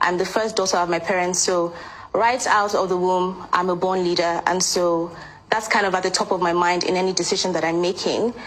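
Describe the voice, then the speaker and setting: Her medium-pitched voice stays monotone and flat at very even loudness as the woman talks at a fairly quick pace over noticeable background noise. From Nigeria, Anambra State. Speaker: pageant queen and lawyer. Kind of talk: interview.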